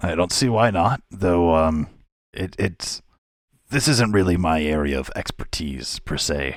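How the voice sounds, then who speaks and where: In a put-on character voice, a man sounds raspy and very deep, speaking at a fairly slow pace. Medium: actual play. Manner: hesitant, halting.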